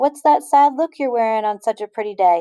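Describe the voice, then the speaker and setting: A woman's put-on character voice, fairly high and sing-song, at a fairly quick pace with a dry, close sound and no echo. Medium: read story. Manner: gracious, folksy.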